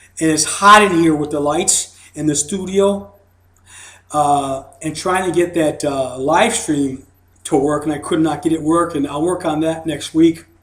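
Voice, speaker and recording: A man with an ordinary speaking voice talks at a fairly slow pace. His pitch is fairly high, and his intonation stays fairly even. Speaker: hypnosis seminar presenter. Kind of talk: seminar lecture. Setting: studio.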